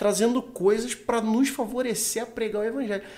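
This man's voice sits high in pitch. He talks at a fairly quick pace. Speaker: podcast host. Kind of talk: casual chat.

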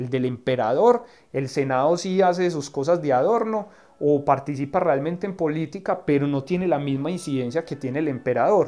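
A man's fairly high voice has a dark, mellow tone and moves at a moderate pace against a quiet background. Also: ordinary pitch variation. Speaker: political scientist. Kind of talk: interview. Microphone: recorded on his cellphone, clean sound.

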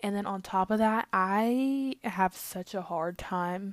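This woman's medium-pitched voice is captured in a very clean recording with a silent background and a dry, close sound without any echo. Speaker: podcast host. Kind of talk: casual monologue.

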